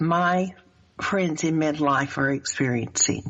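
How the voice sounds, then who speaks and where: Speaking at a fairly slow pace, a woman with a Southern US accent uses a fairly low pitch. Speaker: life coach and show host. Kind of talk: radio talk show interview.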